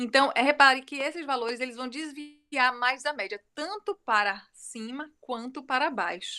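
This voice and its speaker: In a very clean recording with a silent background, a woman uses a raised, projected voice with a high pitch, a bright, sharp tone, lively intonation and a moderate pace. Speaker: university lecturer. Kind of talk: lecture.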